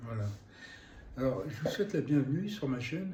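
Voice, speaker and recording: A man speaks at a fairly high pitch with a dark, mellow tone and somewhat breathy delivery. Audible room echo surrounds his voice. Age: 70s. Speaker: YouTuber, temp worker and cabinetmaker. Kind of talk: vlog monologue. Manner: hesitant, many fillers.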